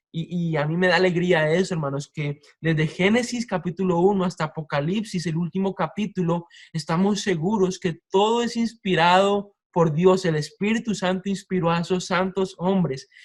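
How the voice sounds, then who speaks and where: At a moderate pace and with hardly any pauses, a man speaks in a high pitch with fairly even intonation. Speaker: preacher. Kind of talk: sermon.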